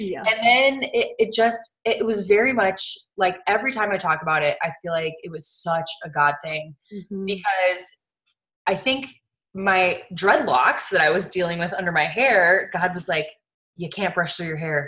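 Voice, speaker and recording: A woman speaks at a moderate pace in a medium pitch, her tone bright and sharp and her intonation lively. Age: 20s. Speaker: network marketer and mother. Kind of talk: casual chat.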